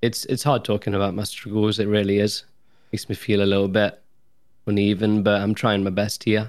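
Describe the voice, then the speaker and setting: A man speaks fairly quickly at a fairly low pitch, his intonation flat and monotone. The recording is very clean, with a silent background. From Nottingham, England. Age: 30s. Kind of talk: casual chat. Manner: clear, well-spoken.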